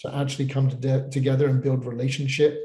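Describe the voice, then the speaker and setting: With a British accent, a man speaks at medium pitch in a dark, mellow, somewhat breathy tone. His intonation is monotone and flat. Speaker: pastor. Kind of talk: panel discussion. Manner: halting, many repeated words.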